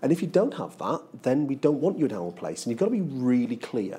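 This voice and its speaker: His pitch swings very widely, with vocal fry running through his dark, mellow tone. The man talks at a fairly quick pace. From northeast England. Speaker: bank CEO. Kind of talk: interview. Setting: studio.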